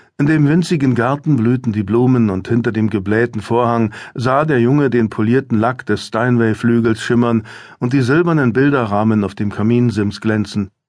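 A man at a medium pitch and moderate pace, with ordinary pitch variation, very even loudness, hardly any pauses, and a quiet background. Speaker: audiobook narrator. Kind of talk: audiobook narration, reading a thriller aloud and voicing characters in dialogue. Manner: measured, storytelling pace with dramatic expressiveness; shifts tone between characters: gentle for the mother, calm for the doctor.

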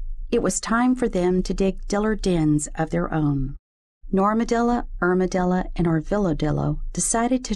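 Quiet surroundings behind a natural reading voice.

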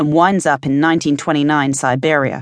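Against a quiet background, a woman with a very deep, low pitch speaks in a confident tone at a moderate pace, the sound dry and close with no echo. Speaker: audiobook narrator. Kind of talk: first-person audiobook narration of a romance-fantasy novel. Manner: wry, sardonic storytelling with conversational asides; brisk, confident heroine voice with comic timing.

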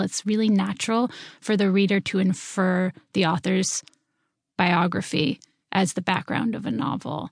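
A woman with an unremarkable speaking voice, medium pitch and ordinary pitch variation, at a moderate pace, against a quiet background with a dry, close sound and no echo. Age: 30s. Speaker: novelist. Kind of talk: interview.

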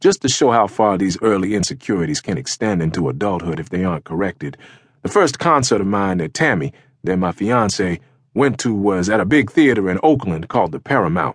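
A man with a normal speaking voice talks at a fairly quick pace in a fairly low pitch with lively intonation, recorded with a dry, close sound, no echo and a quiet background. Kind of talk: audiobook memoir reading, first-person life story.

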